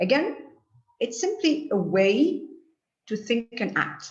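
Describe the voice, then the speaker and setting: Somewhat breathy, a woman speaks at a very slow pace with lively intonation. Audible room echo surrounds her voice. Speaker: lecturer. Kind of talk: lecture. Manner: halting. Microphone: too far from mic, too quiet.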